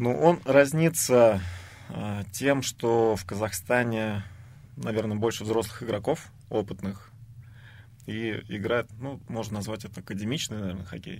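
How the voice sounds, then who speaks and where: Pausing long and often, a man speaks at a medium pitch with ordinary pitch variation and big swings in loudness. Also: fairly slow pace. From Samara, Russia. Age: 30s. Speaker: professional ice hockey player. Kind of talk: radio interview.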